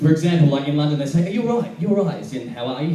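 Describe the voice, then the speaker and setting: A fairly high-pitched man with an Australian accent and ordinary pitch variation, amid audible room echo and noticeable background noise. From Perth, Western Australia. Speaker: stand-up comedian. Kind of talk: stand-up. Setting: stage with audience.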